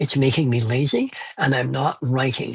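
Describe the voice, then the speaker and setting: A man's somewhat breathy voice at a medium pitch. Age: 70s. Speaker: fantasy author. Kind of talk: interview. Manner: halting.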